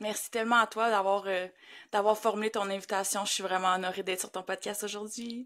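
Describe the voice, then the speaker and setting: A woman with a Quebec accent in a monotone, flat intonation, on a very clean recording with a silent background. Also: medium pitch for a woman, fairly quick pace. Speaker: grief facilitator. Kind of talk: podcast interview.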